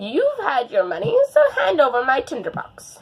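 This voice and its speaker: Putting on a character voice, a woman speaks at a moderate pace and a high pitch. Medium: read story. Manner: wheedling.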